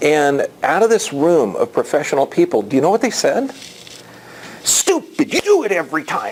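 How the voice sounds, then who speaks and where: The voice has an animated tone at a moderate pace. Noticeable background noise runs throughout. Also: man. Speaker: chiropractor giving health talks. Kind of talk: health education talk to a live audience. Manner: repetitive, halting restarts.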